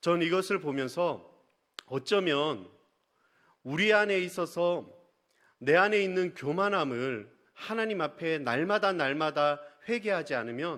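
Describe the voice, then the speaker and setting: In a very clean recording with a silent background, a man with a high pitch speaks at a fairly slow pace in a Busan accent, his intonation lively. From Busan, South Korea. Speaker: pastor. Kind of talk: sermon.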